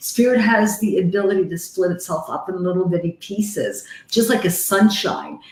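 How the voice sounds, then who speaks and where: Over noticeable background noise, a woman with a medium pitch speaks at a moderate pace in an animated tone with ordinary pitch variation. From Canada. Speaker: psychic medium hosting live readings. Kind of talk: live stream chat and readings. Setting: live video call stream with headset.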